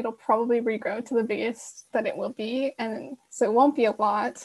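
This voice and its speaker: A woman's fairly high voice with fairly even intonation, against a quiet background. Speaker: workshop host. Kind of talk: online workshop. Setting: video call. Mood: friendly, informal. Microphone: video call.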